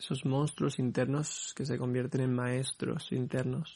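Speaking at a fairly slow pace, a man with a medium pitch keeps a monotone, flat intonation. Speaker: podcast host. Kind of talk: personal monologue. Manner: halting, repeating words.

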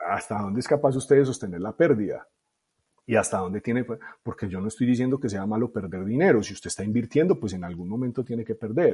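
A man talks at a fairly quick pace with a medium pitch and lively intonation. His voice is somewhat breathy with a dark, mellow tone and big swings in loudness. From Colombia, Medellín (Itagüí). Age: 40s. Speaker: tech startup founder and CEO. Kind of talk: interview conversation.

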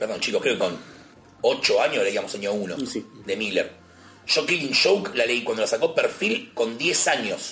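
Over noticeable background noise, a man speaks with a Rioplatense accent. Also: moderate pace. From Buenos Aires, Argentina. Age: 30s. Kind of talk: casual chat.

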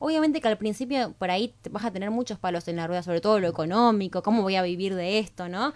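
A woman's medium-pitched voice at a very fast pace, lively in intonation with hardly any pauses. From Argentina, Rosario. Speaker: TV hosting teacher. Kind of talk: radio interview.

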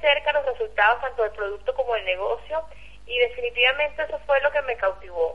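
A woman with high pitch, very wide pitch swings and a fairly quick pace. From Venezuela. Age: young. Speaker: network marketing leader. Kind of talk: testimony.

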